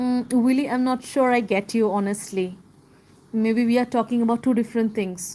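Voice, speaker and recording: A woman with a non-native accent talks at a moderate pace in a dark, mellow tone and a fairly high pitch, with fairly even intonation and very even loudness, on a very clean recording with a silent background. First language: not English. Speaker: live streamer discussing a book. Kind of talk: casual live stream chat and reading aloud. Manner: halting.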